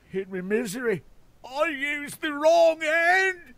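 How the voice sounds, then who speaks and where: Someone speaks in a put-on character voice with a high pitch at a fairly slow pace. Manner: rambling, complaining.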